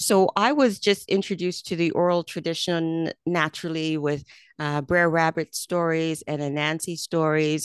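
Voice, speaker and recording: Against a quiet background, a woman with a plain, everyday voice speaks at a moderate pace and fairly low pitch, with fairly even intonation and a dry, close sound with no echo. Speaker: radio host. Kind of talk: radio interview. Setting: studio.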